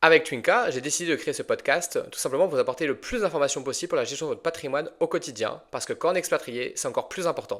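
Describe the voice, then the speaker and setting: A man speaks at a very fast pace with hardly any pauses. The recording is very clean, with a silent background. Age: 30s. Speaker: financial advisor and podcast host. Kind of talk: interview answers, podcast. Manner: conversational with fillers.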